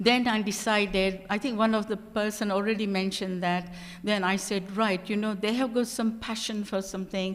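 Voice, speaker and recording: Monotone, flat delivery at a moderate pace with hardly any pauses. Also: woman, medium pitch for a woman. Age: 70s. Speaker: panel speaker, former language tutor. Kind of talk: panel talk.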